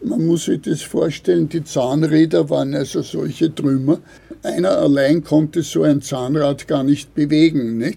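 A man talks at a fairly slow pace with fairly even intonation. His fairly high voice has a dark, mellow tone. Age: 70s. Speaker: retired paper ruling craftsman. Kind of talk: interview. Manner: halting.

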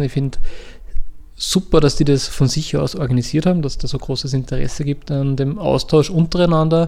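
A man's dark, mellow tone at a very fast pace. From Upper Austria, lower Mühlviertel. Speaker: cultural association director. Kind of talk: interview.

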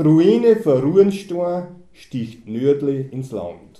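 With lively intonation and a dark, mellow tone, a man talks at a very slow pace amid audible room echo. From Austria, Mühlviertel (Kollmberg). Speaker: dialect poet, car mechanic. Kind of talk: reading aloud.

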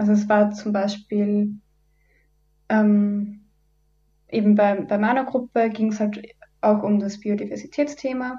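A woman speaks in a dark, mellow, somewhat breathy voice with monotone, flat intonation. Her pace is fairly slow, with long, frequent pauses. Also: medium pitch for a woman. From Upper Austria. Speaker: environmental volunteer, student. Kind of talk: radio interview. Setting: radio studio.

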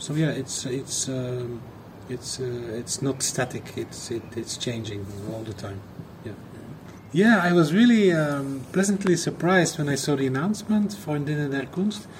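Noticeable background noise sits behind a man talking at a moderate pace, his fairly high voice making very wide pitch swings. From Belgium. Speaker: artist. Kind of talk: recorded audio message.

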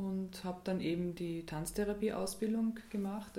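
With a dark, mellow tone and fairly even intonation, a somewhat breathy woman speaks amid audible room echo. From Austria, Graz (Styria). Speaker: dance and movement therapist. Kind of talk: radio interview. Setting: radio studio.

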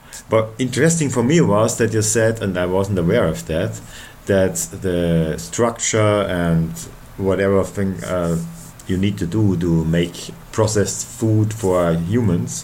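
In a very deep, low voice with a German accent, a man speaks at a fairly slow pace with lively intonation, amid noticeable background noise and audible room echo. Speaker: radio host. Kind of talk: interview.

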